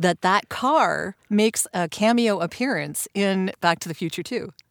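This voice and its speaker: A woman speaks at a medium pitch and a fairly slow pace in a cheerful tone. The sound is dry and close, with no echo. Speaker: voiceover artist. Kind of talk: casual interview chat. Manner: laughs often, cheerful.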